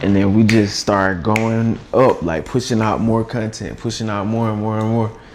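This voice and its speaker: The man's fairly low voice moves at a moderate pace with fairly even intonation. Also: hardly any pauses. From US South, Atlanta. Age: 30s. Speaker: content creator. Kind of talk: casual interview.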